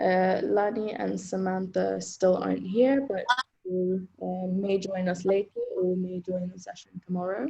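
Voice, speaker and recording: Somewhat breathy and dark, mellow in tone, a woman's medium-pitched voice moves at a very slow pace. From Zambia, lived in several countries. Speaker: writer and series host. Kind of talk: roundtable discussion. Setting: video call.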